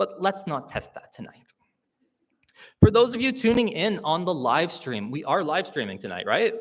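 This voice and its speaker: A Canadian accent, very wide pitch swings and a fairly slow pace. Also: man. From Hamilton, Ontario, Canada. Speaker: awards show host. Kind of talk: live event hosting with comedy. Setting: stage with live audience, live-streamed. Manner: loud, projecting; animated, jokey.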